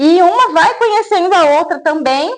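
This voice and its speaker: Speaking at a moderate pace, a woman uses an extremely high pitch with very wide pitch swings. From Brazil, São Paulo state interior. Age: 30s. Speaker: small business owner selling plants. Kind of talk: interview. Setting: at her home.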